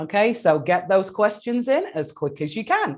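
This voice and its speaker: Speaking with an English accent, a woman uses lively intonation against a quiet background. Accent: English accent, noticeable. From England. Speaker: educator and webinar host. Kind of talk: webinar hosting and guest introduction. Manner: enthusiastic.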